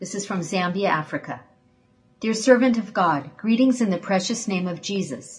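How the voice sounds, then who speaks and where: Somewhat breathy, this voice moves at a moderate pace with lively intonation. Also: woman, medium pitch for a woman. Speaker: ministry assistant. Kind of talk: reading aloud.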